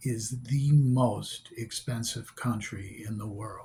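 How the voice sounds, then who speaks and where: A man talks at a fairly slow pace in a medium pitch, with a dark, mellow tone. His voice is somewhat breathy and his intonation fairly even. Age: 60s. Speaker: vlogger with kidney failure. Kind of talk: rant.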